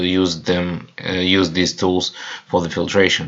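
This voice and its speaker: A man talks with a Russian accent. His pitch is very deep and low. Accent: non-native English, Russian. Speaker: chemical equipment presenter. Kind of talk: webinar presentation. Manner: halting, many fillers.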